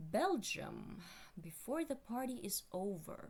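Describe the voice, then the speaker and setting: The voice is somewhat breathy, with a non-native accent. Its pitch swings very widely. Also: woman. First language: not English. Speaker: video commentator. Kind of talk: casual commentary. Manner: halting, many fillers.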